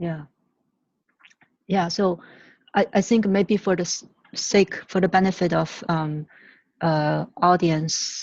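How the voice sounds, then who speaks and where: In a Chinese accent, a woman with a fairly low pitch speaks very slowly and with fairly even intonation, leaving long, frequent pauses. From China. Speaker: climate activist. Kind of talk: reflective dialogue. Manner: halting, many fillers.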